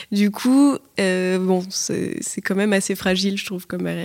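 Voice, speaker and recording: A woman speaks at medium pitch with fairly even intonation. Hers is an unremarkable speaking voice. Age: 20s. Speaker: advertising worker. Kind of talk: casual chat.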